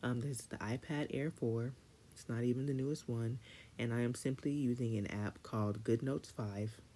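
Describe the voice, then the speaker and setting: A woman speaks with very deep, low pitch and a dark, mellow tone, her intonation fairly even. The recording is very clean, with a silent background. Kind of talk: tutorial. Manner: fast.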